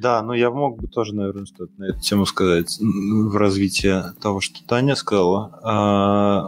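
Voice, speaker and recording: Speaking fairly slowly with hardly any pauses, a man keeps a fairly low pitch and a fairly even intonation. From Russia, Saint Petersburg. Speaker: architect, firm founder. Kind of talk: casual interview. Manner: halting, many fillers and repetitions.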